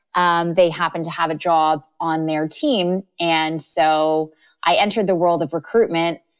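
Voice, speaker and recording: On a very clean recording with a silent background, a woman with a fairly low pitch speaks at a moderate pace and with fairly even intonation. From Canada. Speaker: recruiter. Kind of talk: interview. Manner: casual with many fillers.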